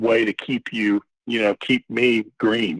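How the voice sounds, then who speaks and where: A man speaks in a flat monotone, his voice dry and close with no echo. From Texas. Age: 60s. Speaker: recovering alcoholic sharing his story. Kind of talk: personal testimony in podcast interview.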